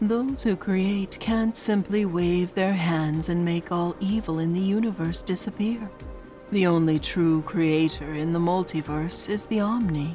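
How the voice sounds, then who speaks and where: A woman's put-on character voice, fairly low in pitch, at a moderate pace, with clear music in the background. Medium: read story. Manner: gentle, patronizing.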